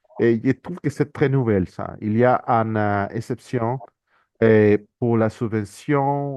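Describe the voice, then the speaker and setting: Very slow in pace, a man talks with a medium pitch. His intonation is fairly even. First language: not French (speaking French). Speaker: international organisation economist, speaker. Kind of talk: conference presentation. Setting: workshop with audience. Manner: halting, many repetitions and hesitations.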